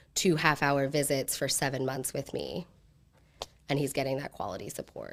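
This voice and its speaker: A woman speaks at a very deep, low pitch with an American accent. The recording is very clean with a silent background. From central Pennsylvania. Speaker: direct primary care practitioner and entrepreneur. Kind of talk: pitch Q&A. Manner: halting.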